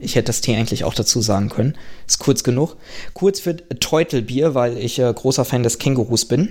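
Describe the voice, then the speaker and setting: A man at a fairly quick pace, a plain, everyday voice, medium pitch and ordinary pitch variation. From Germany. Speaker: podcaster and doctoral researcher. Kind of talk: casual chat.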